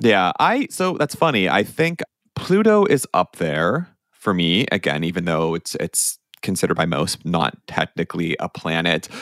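The delivery moves at a moderate pace with a slight Pittsburgh accent. The sound is dry and close, with no echo. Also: man. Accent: Pittsburgh-tinged American. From Pennsylvania, US. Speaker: podcast host. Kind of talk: casual chat.

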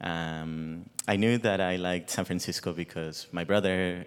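A man's very deep, low voice in a Spanish accent, with monotone, flat intonation. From Mexico (Guadalajara). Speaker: ballet dancer. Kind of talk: onstage interview. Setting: stage with live audience.

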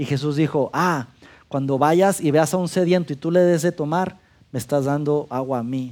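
Recorded very cleanly against a silent background, an unremarkable speaking voice moves at a moderate pace with fairly even intonation. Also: man, fairly high pitch for a man. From Mexico, Durango. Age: 40s. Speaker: pastor. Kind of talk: sermon.

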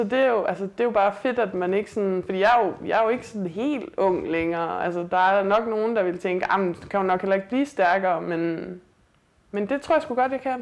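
A woman with a normal speaking voice talks at a fairly quick pace in a medium pitch, with ordinary pitch variation over a quiet background. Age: 30s. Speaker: weightlifter and police officer. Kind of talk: casual interview. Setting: host's apartment.

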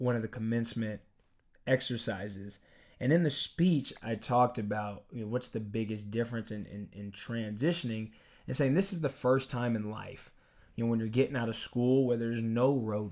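On a very clean recording with a silent background, a man with a medium-pitched voice and ordinary pitch variation uses a normal speaking voice. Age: 20s. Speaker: podcast co-host. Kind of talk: casual chat.

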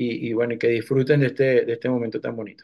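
A man talks in a medium pitch with a dark, mellow tone. His intonation stays flat and monotone. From eastern Venezuela, Cumaná. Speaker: musician. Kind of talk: interview. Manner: halting.

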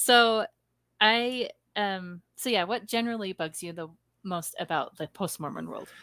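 Bright and sharp in tone, a woman speaks at medium pitch with ordinary pitch variation and big swings in loudness. The recording is very clean and silent in the background, with a dry, close sound and no echo. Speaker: podcast host interviewer. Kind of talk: casual interview with rapid-fire questions.

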